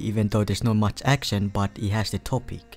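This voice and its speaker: With music behind him, a man speaks fairly low, with ordinary pitch variation. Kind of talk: casual anime list commentary. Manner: quiet.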